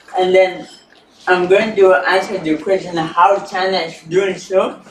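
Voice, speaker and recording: A man with a high pitch talks fairly slowly while noticeable noise sounds in the background. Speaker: researcher on China. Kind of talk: panel presentation.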